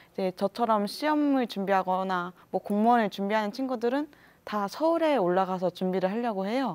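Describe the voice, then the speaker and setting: Speaking at a fairly quick pace, a woman has a normal speaking voice of medium pitch and lively intonation. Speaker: student union president; talk show guest. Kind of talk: panel discussion. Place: studio. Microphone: lapel.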